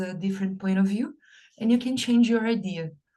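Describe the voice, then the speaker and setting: In a Portuguese accent, a woman speaks with a dark, mellow tone, a medium pitch with ordinary variation, and a somewhat breathy quality. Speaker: English learner. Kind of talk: casual chat.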